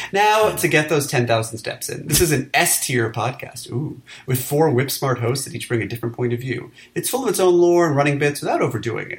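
Here is an ordinary speaking voice at a fairly quick pace. The intonation is lively. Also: man. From New York City. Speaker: podcast host, film critic. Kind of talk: casual banter podcast about movies. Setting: home recording, remote.

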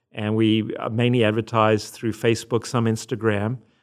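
A man with a Southern African accent speaks at a moderate pace with a medium pitch. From Zimbabwe and South Africa. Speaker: religion professor. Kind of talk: interview.

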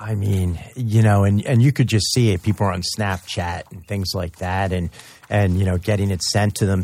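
Somewhat breathy, the man's voice sits at a fairly low pitch. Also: very clean recording, silent background. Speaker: radio co-host and addiction counselor. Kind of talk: casual radio talk.

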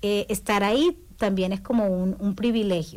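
An unremarkable speaking voice from a woman, medium in pitch, fairly slow and fairly even in intonation, on a very clean recording with a silent background. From Ecuador, Guayaquil (coast). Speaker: community services worker. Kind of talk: radio interview. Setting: radio studio.

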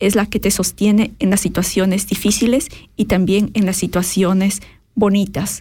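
This woman speaks at a medium pitch and a fairly slow pace. Her voice is somewhat breathy, with monotone, flat intonation. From Ecuador, grew up in Quito. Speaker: online business coach. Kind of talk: radio interview.

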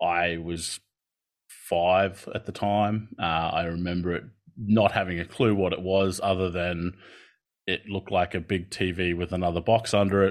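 Against a quiet background, a man with a very deep, low voice talks at a moderate pace in a flat monotone. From Australia. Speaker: occupational therapist and lecturer. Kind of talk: keynote presentation.

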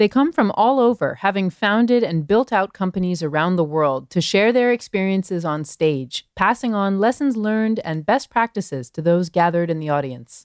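A woman speaks at a moderate pace in a normal speaking voice, medium in pitch with lively intonation, hardly any pauses, and a dry, close sound with no echo. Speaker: podcast host. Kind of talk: interview and narration.

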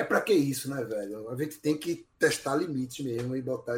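A man speaks at a medium pitch, somewhat breathy, with ordinary pitch variation. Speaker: podcast guest, music commentator. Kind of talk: casual chat.

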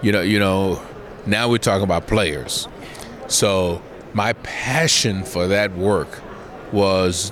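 A man's fairly low voice at a fairly slow pace, with noticeable background noise. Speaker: former football player and broadcaster. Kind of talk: casual interview.

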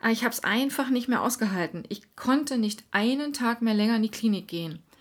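A woman talks at a moderate pace in an ordinary speaking voice with ordinary pitch variation. The recording is very clean, with a silent background. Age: 40s. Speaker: podcast host and life coach. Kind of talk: scripted monologue.

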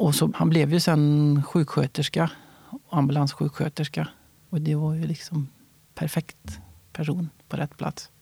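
A man's somewhat breathy, fairly high-pitched voice, dark and mellow in tone, flat and monotone, with a dry, close sound and no echo. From Värmland, Sweden. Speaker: fighter pilot. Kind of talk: interview. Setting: studio.

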